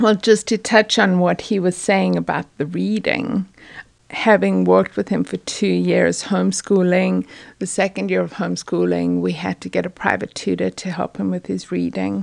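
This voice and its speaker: Over a quiet background, a woman speaks with a South African accent. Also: moderate pace. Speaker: parent. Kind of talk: casual chat.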